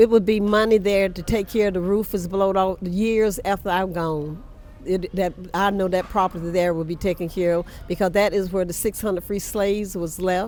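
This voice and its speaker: With an American accent, the speaker talks at a moderate pace in a monotone, flat intonation. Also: woman, medium pitch for a woman. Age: 80s+. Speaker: church historian. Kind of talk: interview.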